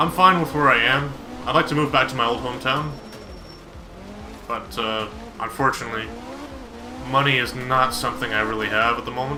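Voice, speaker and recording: Over noticeable background noise and audible room echo, a man talks at a fairly quick pace with ordinary pitch variation and long, frequent pauses. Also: medium pitch for a man. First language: Polish. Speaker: video game streamer. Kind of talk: casual live-stream chat with gameplay commentary. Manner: casual, animated.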